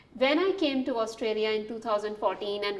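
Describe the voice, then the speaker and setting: A woman with a fairly high pitch and ordinary pitch variation speaks in a room with audible echo and noticeable background noise. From Pakistan, Karachi. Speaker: engineering lecturer. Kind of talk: webinar lecture. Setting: online webinar. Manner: hesitant, many fillers.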